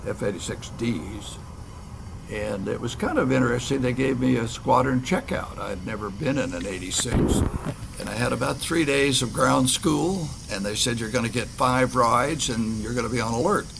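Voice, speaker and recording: Amid noticeable background noise and audible room echo, a man speaks at a medium pitch and a moderate pace. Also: ordinary pitch variation. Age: 80s+. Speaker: retired fighter pilot. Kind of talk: interview reminiscence.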